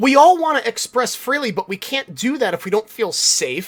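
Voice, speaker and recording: Loud and animated, a man speaks at a moderate pace with very wide pitch swings in a dry, close sound with no echo. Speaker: podcast host. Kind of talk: solo podcast monologue.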